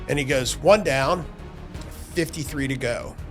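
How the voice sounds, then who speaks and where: Over music in the background, a man speaks with ordinary pitch variation. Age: 60s. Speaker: former special forces soldier, mountaineer. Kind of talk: interview answer.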